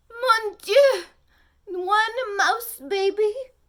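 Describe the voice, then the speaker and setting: Putting on a character voice, a woman speaks at an extremely high pitch. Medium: read story. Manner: theatrical, sighing.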